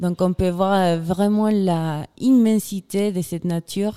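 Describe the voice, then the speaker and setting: In a Chilean accent, a woman with a dark, mellow tone speaks at a very slow pace with fairly even intonation, the sound dry and close with no echo. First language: Spanish (speaking French). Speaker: glaciologist and filmmaker. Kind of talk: interview. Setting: festival radio studio.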